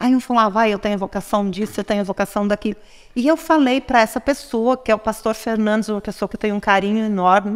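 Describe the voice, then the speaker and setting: Her pace is very fast, with ordinary pitch variation. The woman's pitch is fairly high. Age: 60s. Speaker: businesswoman and psychology graduate. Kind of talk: podcast interview.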